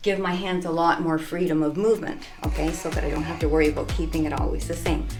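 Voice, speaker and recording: A woman speaking at a fairly quick pace, with audible room echo and music in the background. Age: 60s. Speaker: personal trainer. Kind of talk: tutorial. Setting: home gym. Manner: casual.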